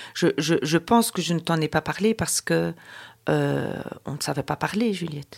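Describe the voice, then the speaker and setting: The sound is dry and close, without any echo. She is a woman talking at a moderate pace. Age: 50s. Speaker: mother of the host. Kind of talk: personal testimony. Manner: halting.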